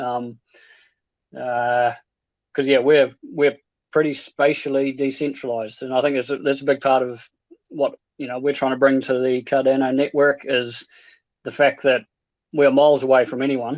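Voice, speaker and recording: Against a quiet background, a man with a New Zealand accent speaks at a medium pitch and moderate pace in a monotone, flat way, with long, frequent pauses. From New Zealand, Invercargill, South Island. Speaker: stake pool operator. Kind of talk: casual chat. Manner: halting.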